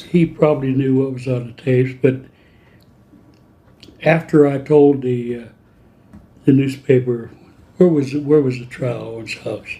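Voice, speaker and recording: Speaking at a moderate pace with long, frequent pauses, a man uses a medium pitch and fairly even intonation, his dark, mellow tone somewhat breathy and his loudness swinging widely. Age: old. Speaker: journalist. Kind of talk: interview answer. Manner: soft-spoken.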